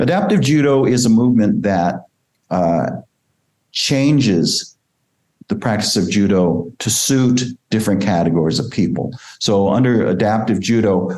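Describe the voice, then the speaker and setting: A man with a dark, mellow tone speaks at a fairly slow pace with lively intonation. His loudness stays very even, and audible room echo surrounds him. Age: 60s. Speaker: judo coach. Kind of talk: interview. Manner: frequent hesitations.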